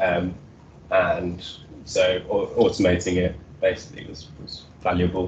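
A man is speaking. Light background noise is audible. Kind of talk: technical presentation. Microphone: video call.

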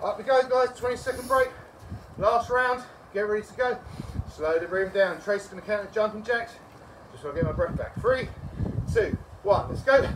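Over noticeable background noise, a man speaks at an extremely high pitch, his volume rising and falling sharply. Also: ordinary pitch variation, fairly quick pace. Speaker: fitness trainer. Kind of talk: workout instruction and counting. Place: garden. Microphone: camera far.

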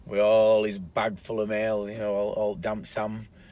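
In a dry recording with no echo, a man talks at a fairly slow pace with a fairly low pitch. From South Yorkshire, England. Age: 40s. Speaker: YouTuber. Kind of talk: casual vlog monologue. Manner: halting. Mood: relaxed, somewhat somber. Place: car. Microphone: phone near.

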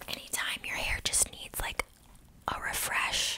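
A soft-spoken woman whispers at a fairly slow pace. Noticeable background noise is in the recording. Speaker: beauty product reviewer. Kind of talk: casual product review, ASMR-like. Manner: soft close-mic ASMR whisper. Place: home room. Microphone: studio mic.

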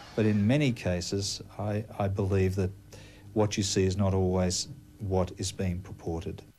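Over light background noise, a man with an Australian accent speaks at a fairly low pitch with fairly even intonation, his tone dark, mellow and somewhat breathy. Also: moderate pace. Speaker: clinical hypnotherapist. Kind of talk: news interview with hypnosis induction. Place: office.

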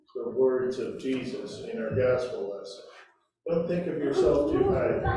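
Light background noise sits under a man's speech, which has strong room echo. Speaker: preacher. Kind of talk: sermon. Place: church.

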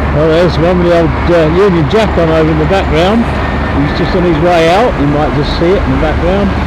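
Loud background noise fills the recording. The man's voice sounds dry, with no echo. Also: fairly quick pace. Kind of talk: casual commentary. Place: street. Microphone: camera far.

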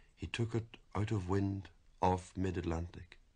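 With an Irish accent, a man talks at a very slow pace in a very deep, low pitch while music plays in the background. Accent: Irish lilt. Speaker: poet. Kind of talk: poetry reading.

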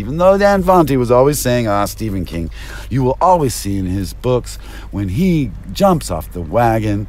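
With an American accent, a man talks at a medium pitch with very wide pitch swings, and background noise is noticeable. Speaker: vlogger and rideshare driver. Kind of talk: rambling stream-of-consciousness vlog monologue. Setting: in a car. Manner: rambling, erratic and jumpy.

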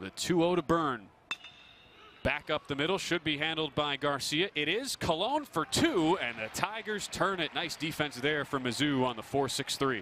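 A man's fairly high voice moves at a fairly slow pace, using a normal speaking voice with lively intonation. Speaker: baseball play-by-play commentator. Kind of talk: live sports commentary, highlight reel. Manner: clipped, punchy call-outs that swell on big hits and strikeouts.

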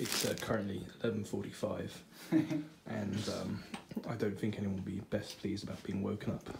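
A man's quiet, raspy, whispered put-on character voice at a moderate pace, over clear background noise. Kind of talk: casual vlog chat. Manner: hushed, whispering.

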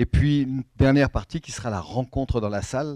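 A man's dark, mellow tone moves at a moderate pace with ordinary pitch variation, the sound dry with no echo and the background quiet. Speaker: event host. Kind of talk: event introduction. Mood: warm, light laughter. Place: hall. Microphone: handheld.

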